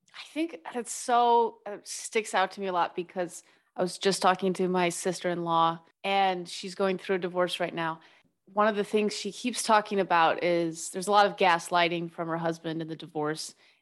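A woman's ordinary speaking voice at a medium pitch and moderate pace, with fairly even intonation and big swings in loudness, over a quiet background. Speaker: podcast host. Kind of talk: casual interview chat.

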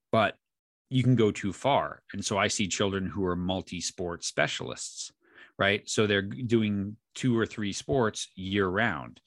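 With a fairly low pitch and a normal speaking voice, a man with an American accent talks at a fairly slow pace with ordinary pitch variation, in a dry, close sound with no echo and a quiet background. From New York. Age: 40s. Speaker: youth sports coach and podcast host. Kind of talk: interview.

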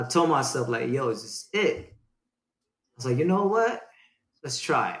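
Somewhat breathy, a man speaks at a moderate pace with very wide pitch swings and long, frequent pauses. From Dayton, Ohio (born in Vietnam). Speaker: breakdance crew leader. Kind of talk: casual chat.

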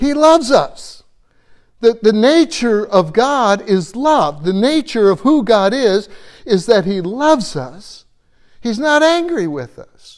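Extremely high in pitch, a man speaks at a very slow pace with very wide pitch swings and big swings in loudness. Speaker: Bible teacher. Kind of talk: sermon. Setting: church. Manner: halting.

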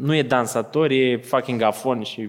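A man with a normal speaking voice, medium pitch and ordinary pitch variation, at a fairly slow pace. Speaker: podcast host. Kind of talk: live interview on stage. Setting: stage with audience.

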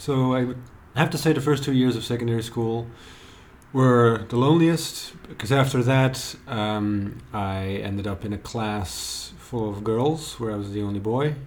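A man talks at a fairly slow pace with medium pitch and ordinary pitch variation. Audible room echo and noticeable background noise surround him. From Belgium. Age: 30s. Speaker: writer. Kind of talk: casual chat.

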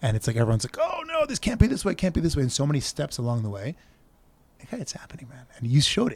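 Very fast and with very wide pitch swings, a man speaks at a fairly high pitch. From Israel. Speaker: community member, local study group organizer. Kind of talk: casual interview. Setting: outdoors. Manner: animated.

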